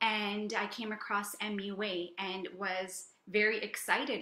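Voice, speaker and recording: Amid audible room echo and noticeable background noise, a woman speaks with a Canadian accent. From Canada. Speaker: medical doctor, psychiatry resident. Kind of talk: informational talk and Q&A.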